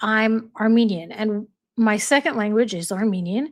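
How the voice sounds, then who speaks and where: A woman with an American accent speaks at a fairly slow pace in a fairly high pitch, in a very clean recording with a silent background. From United States. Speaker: YouTube live streamer. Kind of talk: casual chat. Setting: livestream.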